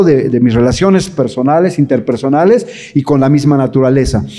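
A man at a moderate pace with lively intonation. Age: 60s. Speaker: pastor and English teacher giving a talk to parents. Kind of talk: lecture. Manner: halting, many fillers and repetitions.

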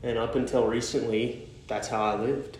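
Fairly even intonation amid noticeable background noise and audible room echo. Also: man. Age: 20s. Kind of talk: devotional talk. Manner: halting.

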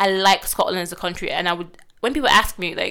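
A woman speaks at a fairly quick pace with fairly low pitch and ordinary pitch variation. Her tone is clear and smooth, yet also bright and sharp.

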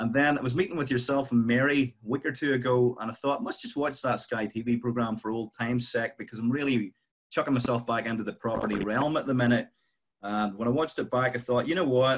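Very fast speech in a Northern Irish accent. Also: man, medium pitch for a man. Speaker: property investor. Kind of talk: casual interview chat.

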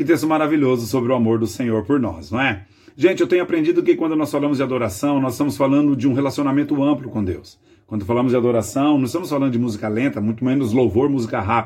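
A man's medium-pitched voice with ordinary pitch variation, delivered at a very fast pace. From Brazil, Greater São Paulo. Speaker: pastor. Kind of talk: devotional sermon.

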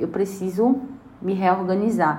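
Speaking at a fairly slow pace, a woman has a medium pitch, and there is audible room echo. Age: 30s. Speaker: public relations professional. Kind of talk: interview testimony.

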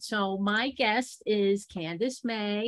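This is a woman speaking. Her pitch is medium. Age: 50s. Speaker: podcast host. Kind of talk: interview. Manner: animated.

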